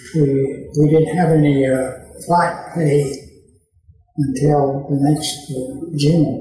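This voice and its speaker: In an East Tennessee accent, a man with a fairly high pitch talks very slowly in a monotone, flat intonation, with audible room echo. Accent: Southern US (East Tennessee). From Tennessee, USA. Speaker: WWII veteran. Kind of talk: interview answer. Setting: indoor room with slight echo.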